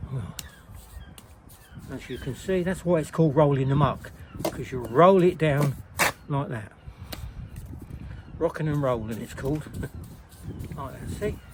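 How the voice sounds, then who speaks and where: A man's fairly high voice in an English accent, fairly slow, with long, frequent pauses, big jumps in volume and noticeable background noise. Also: ordinary pitch variation. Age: 70s. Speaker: bricklayer. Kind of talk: tutorial.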